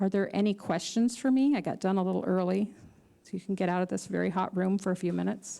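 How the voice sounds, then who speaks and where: A woman with an American accent speaks at a very fast pace and medium pitch, her intonation fairly even. Her loudness swings widely in a very clean recording with a silent background. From USA. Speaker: psychologist and parent speaking at a conference. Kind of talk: conference lecture. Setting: conference hall with audience.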